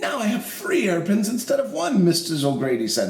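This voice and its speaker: Doing a put-on character voice, a man speaks at a high pitch with very wide pitch swings, and echo is audible. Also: fairly quick pace. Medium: read story.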